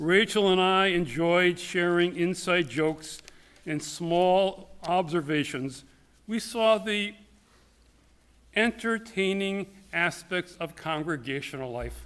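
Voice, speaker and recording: A man speaks loudly in a high voice. His pitch varies in an ordinary way. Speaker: rabbi. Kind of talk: eulogy. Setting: synagogue sanctuary.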